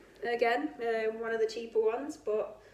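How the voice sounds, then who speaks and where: The pace of this woman's speech is fairly slow. She talks in a British accent. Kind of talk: casual talk to camera. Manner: chatty, hesitant.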